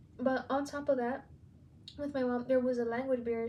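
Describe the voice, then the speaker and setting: A woman speaks at a high pitch and a moderate pace in a monotone, flat delivery. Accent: Spanish. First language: Spanish. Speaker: student podcaster, aspiring teacher. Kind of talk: personal narrative podcast.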